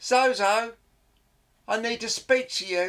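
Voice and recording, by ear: In a put-on character voice, the speaker goes at a fairly slow pace with a fairly high, shrill sound.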